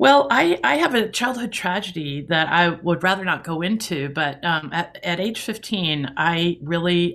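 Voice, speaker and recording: An ordinary speaking voice from a woman, fairly low and fairly slow, with lively intonation on a very clean recording with a silent background. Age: 60s. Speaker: author and speaker. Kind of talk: interview.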